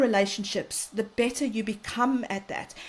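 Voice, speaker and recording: A woman with a South African accent speaks at a fairly high pitch. Her pace is fairly slow and her intonation fairly even. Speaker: parenting and mental health expert. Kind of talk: interview conversation.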